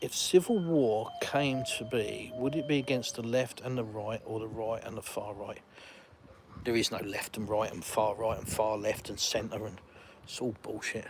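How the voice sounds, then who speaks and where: At a moderate pace, a man with a medium pitch and ordinary pitch variation speaks with big swings in loudness over noticeable background noise. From England. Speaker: YouTuber and livestream host. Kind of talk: live stream chat with viewers. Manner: casual, rambling with fillers.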